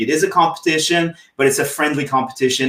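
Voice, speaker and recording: Speaking fairly quickly in a French accent, a man keeps his pitch moving with ordinary variation. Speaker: TikTok coach. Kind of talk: interview on a live stream. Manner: halting, frequent repetitions.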